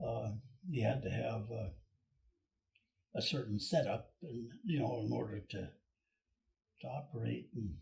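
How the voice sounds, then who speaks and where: Lively intonation and vocal fry in an Alaskan accent. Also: man. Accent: Alaskan American English. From Cordova, Alaska. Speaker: boat builder, retired shipyard superintendent. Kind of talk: interview answer.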